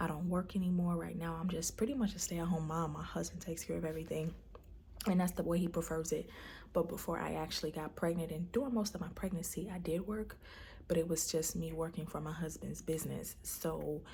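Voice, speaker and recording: A woman with an American accent talks at a very fast pace. Her voice is fairly low with fairly even intonation. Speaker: vlogger, stay-at-home mom. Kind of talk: personal video diary. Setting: at home. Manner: soft-spoken, speaking low; hesitant, many fillers.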